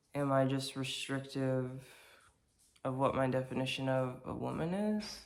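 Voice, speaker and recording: The speaker moves at a moderate pace, with long, frequent pauses. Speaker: vlogger. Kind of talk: casual monologue vlog. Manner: halting, many fillers and restarts.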